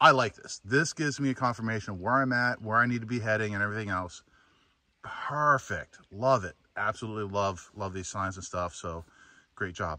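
A man with a fairly low pitch speaks at a fairly quick pace in a bright, sharp tone, his loudness swinging widely and his pitch varying in an ordinary way, with a dry sound, no echo and a quiet background. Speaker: hiker vlogger. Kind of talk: casual vlog chat. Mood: relaxed, mildly annoyed then pleased. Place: forest. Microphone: phone near.

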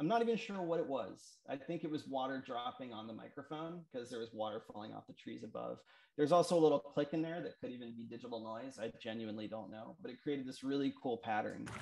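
A man talks at a very fast pace with hardly any pauses. His intonation is lively. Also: big swings in loudness. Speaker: musician and sound artist. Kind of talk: artist presentation. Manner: hesitant, casual. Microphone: video call.

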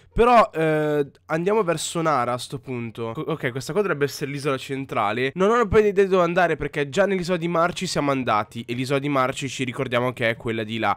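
A man speaks at a very fast pace with hardly any pauses and a fairly high pitch. His intonation is lively, and the recording is very clean with a silent background. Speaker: gaming youtuber. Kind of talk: let's play commentary. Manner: animated.

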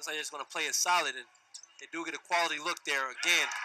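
Clear background noise is present. Over it, a man talks somewhat fast. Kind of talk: live sports commentary, color analyst. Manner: animated, excitable, chatty; laughing, playful banter.

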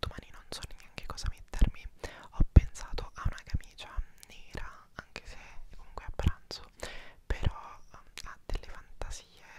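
A man whispers in an intense tone at a moderate pace. He leaves long, frequent pauses. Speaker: vlogger. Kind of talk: casual vlog chat. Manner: intense close-mic ASMR whisper. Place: home room. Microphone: lapel.

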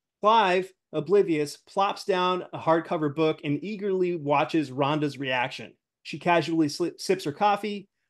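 A man speaks at a moderate pace in a high voice with ordinary pitch variation. The background is quiet. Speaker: show host. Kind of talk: reading a script aloud. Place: home room.

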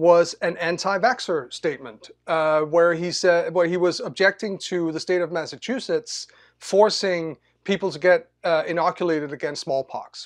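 Over a quiet background, a man with a Danish accent talks at a fairly slow pace in a high voice. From Denmark. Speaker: technology scholar; panelist. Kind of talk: panel talk. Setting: video call. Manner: hesitant, many fillers. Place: home room. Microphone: video call.

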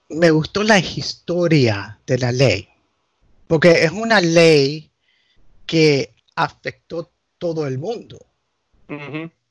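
Speaking very slowly with long, frequent pauses, a man uses a fairly high pitch and lively intonation. The sound is dry and close, with no echo. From United States, Nicaraguan family. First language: English (speaking Spanish). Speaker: canon lawyer. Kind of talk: casual chat. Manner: halting.

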